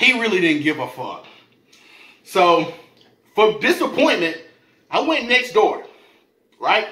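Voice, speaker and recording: A man's raised, projected, animated voice at a high pitch, with very wide pitch swings, long and frequent pauses, and audible room echo. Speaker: food YouTuber. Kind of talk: storytelling rant while eating (mukbang). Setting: home video, eating on camera. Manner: animated, profane, rapid-fire slangy storytelling; casual, conversational, addressing viewers directly. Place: home room. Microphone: camera far.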